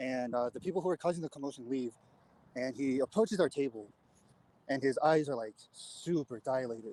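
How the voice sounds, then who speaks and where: A man talks at a fairly quick pace with a medium pitch. His tone is dark and mellow, with ordinary pitch variation. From US West Coast. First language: not English. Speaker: guest storyteller on a live panel. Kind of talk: casual storytelling. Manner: halting, with many fillers and repeats.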